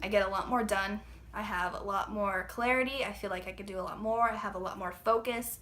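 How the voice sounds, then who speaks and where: A woman's medium-pitched voice at a fairly quick pace, monotone and flat, with audible room echo. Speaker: fitness trainer and vlogger. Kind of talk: casual vlog talk. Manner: hesitant, filler-heavy.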